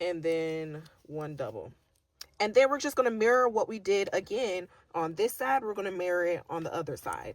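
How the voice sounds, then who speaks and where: A woman's unremarkable speaking voice at medium pitch, with lively intonation, a moderate pace, and a very clean recording over a silent background. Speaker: crochet teacher. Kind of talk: tutorial.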